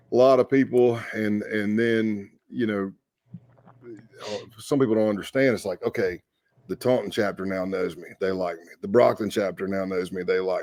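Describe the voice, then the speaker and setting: Loudness swings widely as a man with a Southern US accent and fairly low pitch talks at a moderate pace. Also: ordinary pitch variation. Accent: Southern US accent noted by himself. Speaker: former undercover FBI agent. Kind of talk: podcast interview storytelling.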